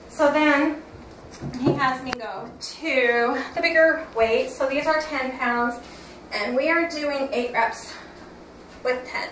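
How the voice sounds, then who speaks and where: A woman's high voice at a very slow pace, with long, frequent pauses, audible room echo and noticeable background noise. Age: 50s. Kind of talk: workout tutorial. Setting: home workout room. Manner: loud when excited; casual, halting.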